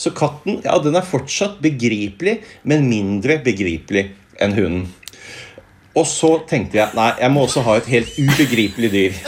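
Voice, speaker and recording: A man's medium-pitched voice with very wide pitch swings and very even loudness. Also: fairly slow pace. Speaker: philosophy professor. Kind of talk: interview.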